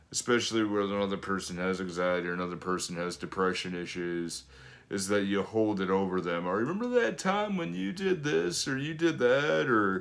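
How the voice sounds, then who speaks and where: A man's fairly low voice with lively intonation at a fairly quick pace. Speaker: fitness coach and channel host. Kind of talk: casual chat. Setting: video with spouse. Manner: loud.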